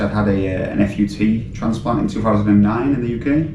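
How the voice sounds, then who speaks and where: Speaking very fast, a man uses a British accent and a fairly low pitch. His intonation is fairly even, over noticeable background noise. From Britain. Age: 30s. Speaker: patient. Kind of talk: interview. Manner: hesitant, many fillers.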